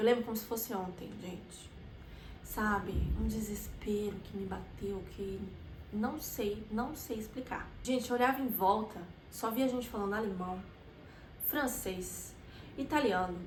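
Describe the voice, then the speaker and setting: Amid noticeable background noise and audible room echo, a woman with a fairly high pitch speaks at a fairly slow pace with ordinary pitch variation. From Brazil. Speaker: vlogger. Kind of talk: personal storytelling vlog. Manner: animated.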